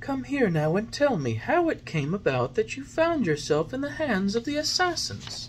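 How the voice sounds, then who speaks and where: A man puts on a character voice, pitched high for a man. He talks at a moderate pace over clear background noise. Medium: read story. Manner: gentle, patient, motherly.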